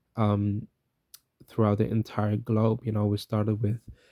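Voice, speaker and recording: A man's fairly low-pitched, dark, mellow tone in a dry, close sound with no echo. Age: 20s. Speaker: content creator and independent record label owner. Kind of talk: casual vlog monologue. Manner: hesitant, many fillers.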